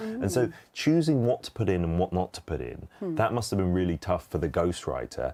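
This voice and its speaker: With a British accent, a man speaks very fast in a dark, mellow tone, with very wide pitch swings and vocal fry. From England. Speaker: radio and TV personality, author. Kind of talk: interview answer. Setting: studio. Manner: casual, chatty.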